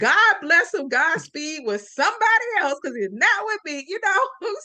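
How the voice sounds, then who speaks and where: This woman's voice sits at an extremely high pitch, raised and projected. Her tone is animated, with very wide pitch swings. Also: moderate pace. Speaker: storyteller and podcaster. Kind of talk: podcast interview answer. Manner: animated, expressive.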